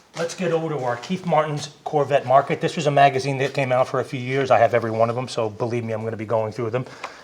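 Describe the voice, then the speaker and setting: A man speaks very fast at a medium pitch with ordinary pitch variation over noticeable background noise. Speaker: car enthusiast video host. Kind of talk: casual video presentation.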